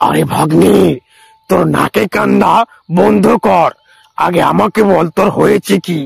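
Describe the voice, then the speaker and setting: Putting on a cartoonish character voice, a man speaks raspy and fairly slow at a fairly high pitch. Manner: blustering, overconfident.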